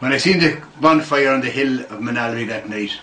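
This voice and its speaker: Moderate pace and ordinary pitch variation in a Meath Irish accent, with audible room echo and noticeable background noise. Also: man. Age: 60s. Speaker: club member recalling history. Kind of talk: interview reminiscence. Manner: animated.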